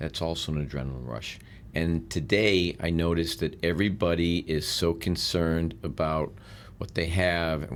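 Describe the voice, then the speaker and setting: The speech moves at a moderate pace, its intonation fairly even. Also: man. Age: 60s. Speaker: real estate mentor and businessman. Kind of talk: podcast interview.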